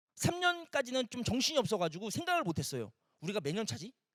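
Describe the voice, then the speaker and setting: A man with a high-pitched voice speaks in an animated tone, his pitch swinging very widely, recorded dry and close with no echo. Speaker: environmental artist and art director giving a talk. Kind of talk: motivational talk to audience.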